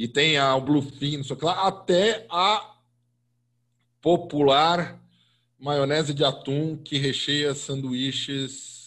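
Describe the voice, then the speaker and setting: Over a silent background in a very clean recording, a man speaks at a very slow pace with ordinary pitch variation. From Brazil, São Paulo. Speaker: food podcast host and columnist. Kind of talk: casual interview.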